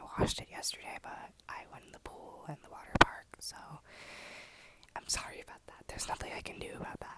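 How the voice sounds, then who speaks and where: A woman whispers at a fairly quick pace, her loudness swinging widely. Background noise is noticeable. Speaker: ASMR content creator. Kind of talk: ASMR whisper ramble to camera. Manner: whispered, soft, casual.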